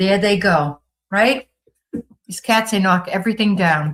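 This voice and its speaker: In a Boston accent, a woman speaks at a fairly slow pace with an animated tone, a medium pitch and ordinary pitch variation. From Boston area, Massachusetts. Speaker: livestream host. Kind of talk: casual livestream chat reading comments.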